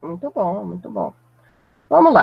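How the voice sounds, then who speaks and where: A woman's voice in a dry, close recording with no echo. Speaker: math teacher. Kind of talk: lecture. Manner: deliberately slowed down.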